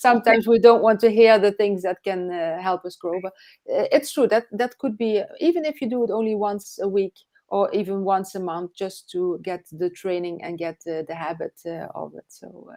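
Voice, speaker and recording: Recorded with a dry, close sound and no echo, a woman with a non-native accent speaks at a moderate pace in a medium pitch with a dark, mellow tone, ordinary pitch variation and big swings in loudness. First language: not English. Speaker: online business coach, live show host. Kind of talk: live interview chat. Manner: halting, many fillers.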